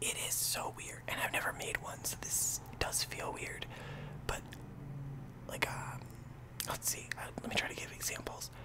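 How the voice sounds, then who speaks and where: A man pauses often and at length while talking at a moderate speed, with loud noise in the background. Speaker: ASMR YouTuber. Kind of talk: casual talk to camera. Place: home room. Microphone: studio mic.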